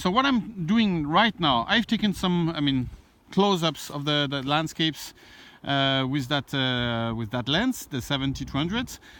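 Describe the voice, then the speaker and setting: With a French accent, a man speaks at a moderate pace in a fairly high pitch with lively intonation. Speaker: landscape photographer. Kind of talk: outdoor vlog tutorial. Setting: outdoors. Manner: hesitant, many fillers.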